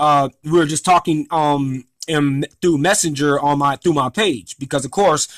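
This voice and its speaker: A man speaks with a fairly high pitch in a dry, close sound with no echo. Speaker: former restaurant employee telling a grievance story. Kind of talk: casual monologue vlog. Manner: loud; talkative, many fillers.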